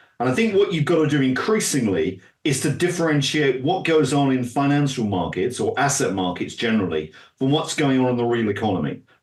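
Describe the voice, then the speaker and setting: A man speaks in a British accent with very even loudness. His pitch swings very widely. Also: medium pitch for a man, fairly quick pace. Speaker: finance expert and author. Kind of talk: interview.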